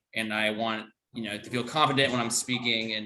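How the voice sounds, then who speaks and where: Music plays in the background as a man speaks. His pace is fairly quick and his pitch is medium. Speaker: toastmasters guest. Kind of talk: personal introduction. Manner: fast.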